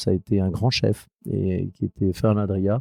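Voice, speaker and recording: A man speaks with a dry, close sound and no echo against a quiet background. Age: 50s. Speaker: spirits producer. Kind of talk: interview. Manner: hesitant, repetitive.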